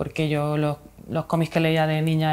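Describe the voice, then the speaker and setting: A woman talks at a fairly low pitch. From Spain, Murcia region (Mula); Murcia, Spain. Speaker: illustrator and author; interviewee. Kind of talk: interview. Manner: halting, many fillers. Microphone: lapel.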